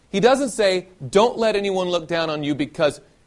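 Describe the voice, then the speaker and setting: A man with a Southern US accent and a high pitch, at a moderate pace. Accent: faint Southern US. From US South, Nashville, Tennessee. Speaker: preacher. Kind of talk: sermon.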